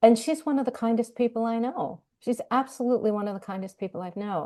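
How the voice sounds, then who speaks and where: A woman speaks at a fairly quick pace with ordinary pitch variation over a quiet background. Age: 60s. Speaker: marketing professor and author. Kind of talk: interview conversation. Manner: halting.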